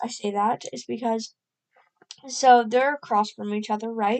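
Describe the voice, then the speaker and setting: A woman's fairly high-pitched voice at a fairly slow pace. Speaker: amateur earthquake commentator. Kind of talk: casual screen-recorded explainer. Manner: hesitant, many fillers.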